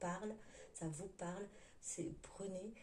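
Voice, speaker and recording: A woman talks at a very slow pace in a monotone, flat intonation. Noticeable background noise and audible room echo surround her. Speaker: tarot card reader. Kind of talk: tarot reading for viewers. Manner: hesitant, many fillers; forcing voice louder.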